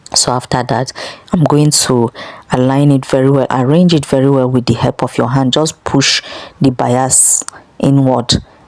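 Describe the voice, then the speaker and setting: A woman speaks at a moderate pace with a very deep, low pitch and fairly even intonation. Her loudness stays very even, and there is noticeable background noise. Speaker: sewing instructor. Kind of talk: tutorial.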